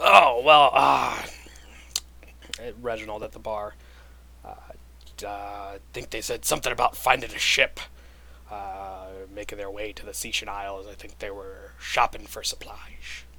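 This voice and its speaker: Putting on a raspy character voice, a man speaks at a moderate pace in a fairly low pitch with long, frequent pauses over light background noise. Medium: actual play. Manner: hesitant.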